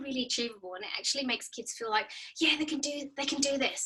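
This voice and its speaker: Someone speaks at a very fast pace with an Australian accent. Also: woman. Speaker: speech pathologist. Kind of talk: webinar presentation.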